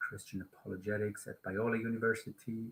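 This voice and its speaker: A man speaks in a Swiss German accent. His tone is bright and sharp. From Switzerland. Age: 30s. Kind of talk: casual live stream talk. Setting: live stream. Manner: halting, many fillers.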